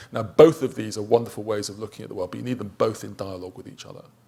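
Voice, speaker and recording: A man is speaking. His voice has vocal fry. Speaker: professor, conference panelist. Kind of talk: conference panel talk.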